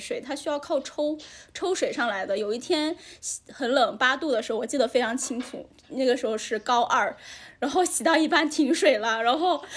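The speech moves at a moderate pace, its intonation lively throughout. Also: woman. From Hainan, China. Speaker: guest sharing local life. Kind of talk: casual chat, interview.

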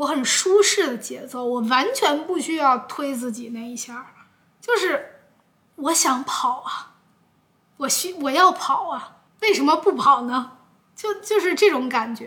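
Her raised, projected voice sits high in pitch, with a bright, sharp tone, lively intonation and big swings in loudness from this woman. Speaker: YouTuber podcaster. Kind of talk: casual solo podcast answering viewer questions. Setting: recorded with a camera at home. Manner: hesitant, with many fillers. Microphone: camera audio, no microphone.

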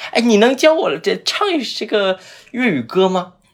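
Noticeable background noise surrounds a man speaking fairly slowly. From Zhuhai, Guangdong. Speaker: podcast host. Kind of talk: casual chat.

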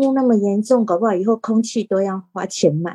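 At a moderate pace, a woman speaks in a dark, mellow tone with a dry, close sound and no echo. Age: 50s. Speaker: teacher and podcaster. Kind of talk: casual chat.

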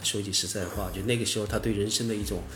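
The man speaks at a fairly low pitch. Audible room echo surrounds his voice. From southern Fujian (Minnan), China. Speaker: former online forum writer and entrepreneur. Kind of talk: casual interview conversation.

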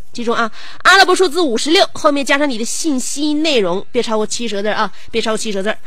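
Amid noticeable background noise and audible room echo, a woman speaks at a high pitch with lively intonation. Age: 30s. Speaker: radio host. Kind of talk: casual radio chat.

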